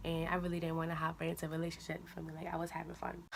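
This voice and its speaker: A quiet woman's voice, fairly low in pitch, at a very fast pace. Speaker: YouTuber. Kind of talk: storytime vlog. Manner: quiet, low voice; casual, slangy.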